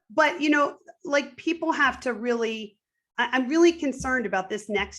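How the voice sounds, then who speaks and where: Vocal fry runs through a woman's animated tone. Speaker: activist interviewee. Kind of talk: interview conversation. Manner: chuckles softening speech.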